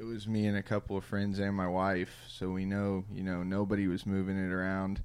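Someone with a Midwestern US accent speaks at a moderate pace on a very clean recording with a silent background. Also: man. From Indiana. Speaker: podcast host. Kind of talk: casual chat. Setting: studio.

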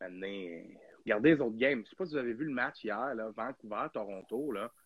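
A man's medium-pitched voice in a Quebec accent, at a moderate pace with ordinary pitch variation, in a dry, close sound with no echo. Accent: Québécois French. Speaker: hockey podcast host. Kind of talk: casual chat. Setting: live stream.

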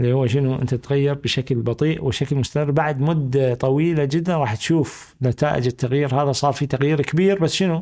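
The man's voice sits fairly high, with a dark, mellow tone and very even loudness. He keeps a moderate pace with hardly any pauses and fairly even intonation over a quiet background. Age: 50s. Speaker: management consultant. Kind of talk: casual interview chat.

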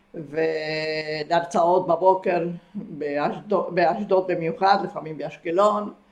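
The speech is very slow with hardly any pauses and fairly even intonation. Noticeable background noise is present. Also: woman, fairly low pitch for a woman. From Argentina. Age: 80s+. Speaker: retired kibbutz member. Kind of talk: interview about life story.

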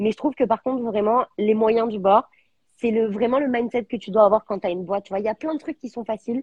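At a very fast pace, a woman talks in a somewhat breathy, fairly high voice with ordinary pitch variation. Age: 30s. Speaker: entrepreneur, founder of a menstrual products brand. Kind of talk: live interview. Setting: live video stream.

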